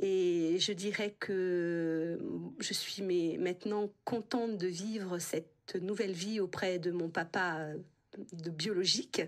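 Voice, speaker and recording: A woman is speaking. Her voice has a medium pitch. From France, Creuse. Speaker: interviewee, adoptee rights activist. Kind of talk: radio interview. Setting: radio studio. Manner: hesitant, many fillers.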